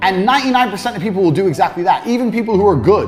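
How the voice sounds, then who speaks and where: The speech comes at a very fast pace. Music is in the background. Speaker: online course instructor teaching sales. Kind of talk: informal instructional. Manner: very fast talker, few hesitations; speaks off the cuff, no teleprompter.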